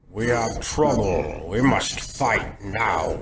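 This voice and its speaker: Putting on a character voice, a man talks at a very slow pace in a medium pitch. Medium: audio drama.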